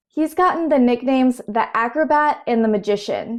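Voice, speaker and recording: This woman has a Southern US accent. Her voice sits high and varies in pitch in an ordinary way. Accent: Southern American. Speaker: sumo commentator. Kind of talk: explainer narration.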